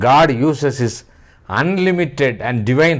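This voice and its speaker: Lively intonation carries this voice with an Indian accent, heard with audible room echo. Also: man. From India, Tamil-speaking region. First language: Tamil. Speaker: writer and speaker on philosophy and spirituality. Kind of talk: lecture. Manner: formal.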